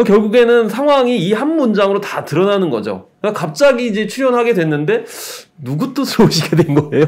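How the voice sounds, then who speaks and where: In a quiet background, a man speaks at a fairly quick pace. His high-pitched voice carries lively intonation. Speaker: cultural critic. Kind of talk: casual chat. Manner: halting. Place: studio. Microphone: studio mic.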